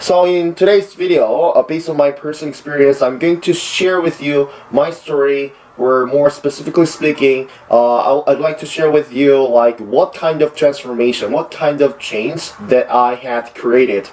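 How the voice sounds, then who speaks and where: With a Korean accent and a fairly high pitch, a man speaks at a moderate pace with ordinary pitch variation over noticeable background noise. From South Korea. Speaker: university student and English learner vlogger. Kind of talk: personal vlog monologue. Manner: hesitant with many fillers.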